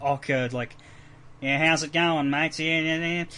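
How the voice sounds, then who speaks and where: Putting on a nasal character voice, a man speaks at a moderate pace, his fairly high pitch held in a flat monotone. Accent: Australian. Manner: awkward, casual greeting.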